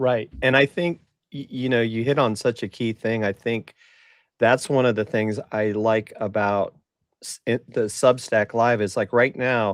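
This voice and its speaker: A man with a normal speaking voice at medium pitch, fairly slow and fairly even in intonation, on a very clean recording with a silent background and a dry, close sound with no echo. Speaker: marketing podcast host. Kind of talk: casual chat.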